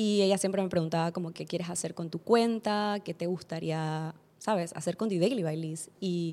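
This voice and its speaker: At a moderate pace, a woman speaks in a medium pitch with a dark, mellow tone and fairly even intonation. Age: 20s. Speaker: podcast host. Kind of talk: solo personal development monologue.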